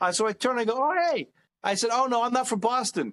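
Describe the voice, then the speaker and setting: Recorded with a dry, close sound and no echo, a man with a New York accent talks at a fairly quick pace. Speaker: comedian. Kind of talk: casual chat.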